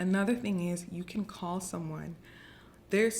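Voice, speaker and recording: A woman's voice, fairly low in pitch. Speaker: lifestyle vlogger. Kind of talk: casual advice talk to camera. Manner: fast.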